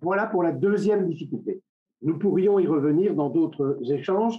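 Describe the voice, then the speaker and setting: His voice is high-pitched for a man. The variation in that pitch is ordinary. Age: 70s. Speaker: webinar speaker on secularism. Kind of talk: lecture. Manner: halting.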